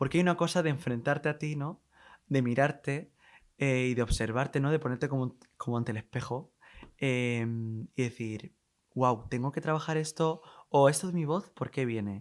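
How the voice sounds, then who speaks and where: An ordinary speaking voice, a man's, fairly high in pitch. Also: ordinary pitch variation, moderate pace, very clean recording, silent background. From Spain, Alicante (Petrer). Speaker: playwright and theatre producer. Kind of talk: podcast interview.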